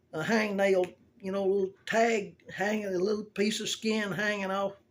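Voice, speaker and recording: With an American accent, a man speaks in a high pitch at a moderate pace and a monotone, flat intonation over noticeable background noise. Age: 70s. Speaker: video blogger showing a grooming tip. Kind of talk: casual tutorial. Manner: folksy, rambling storytelling.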